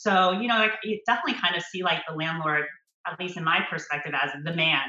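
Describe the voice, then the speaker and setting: A woman with an American accent speaks at a fairly quick pace in a fairly low pitch. She has an unremarkable speaking voice with ordinary pitch variation. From United States. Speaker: landlord's daughter helping manage a building. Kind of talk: interview.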